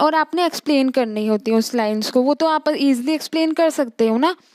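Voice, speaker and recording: At a moderate pace, a woman speaks with ordinary pitch variation in a very clean recording with a silent background and a dry, close sound with no echo. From India. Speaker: teacher. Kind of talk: lecture. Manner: casual, explanatory.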